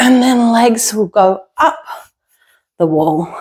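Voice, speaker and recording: With ordinary pitch variation, the speech unfolds very slowly. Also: woman. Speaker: yoga teacher. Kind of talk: guided yoga practice. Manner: soft-spoken.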